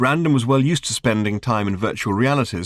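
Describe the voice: This is plain reading aloud. The words are read straight from the text.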